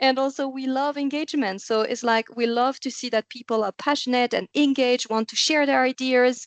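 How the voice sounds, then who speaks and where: The speaker has a French accent and a fairly quick pace with fairly even intonation. The sound is dry and close, with no echo. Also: woman, high pitch for a woman, hardly any pauses. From France. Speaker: podcast host. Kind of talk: interview conversation.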